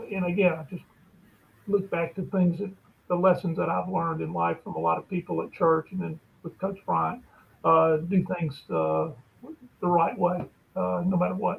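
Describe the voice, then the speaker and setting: With an Alabama accent, a man talks at a moderate pace, leaving long, frequent pauses. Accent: US Southern (Alabama). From Alabama, Bessemer. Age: 60s. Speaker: lawyer and sports agent. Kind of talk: interview conversation.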